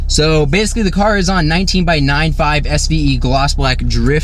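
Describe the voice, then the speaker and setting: A man talks at a middling tempo with ordinary pitch movement, his voice echoing audibly in the room over noticeable background noise. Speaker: car enthusiast YouTuber. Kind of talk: casual car review vlog. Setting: in a car. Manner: loud. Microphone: audio distorted by exhaust.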